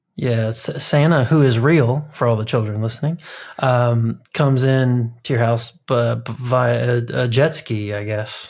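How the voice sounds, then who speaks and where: A man with an American accent speaks at a very slow pace, somewhat breathy and with fairly even intonation. The background is quiet. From Kentucky, US. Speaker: podcast co-host. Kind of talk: casual chat. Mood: playful joking. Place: home room. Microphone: studio mic.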